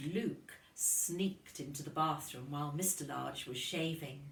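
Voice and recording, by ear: With audible room echo, a woman speaks at a low pitch and a fairly slow pace, showing vocal fry and ordinary pitch variation.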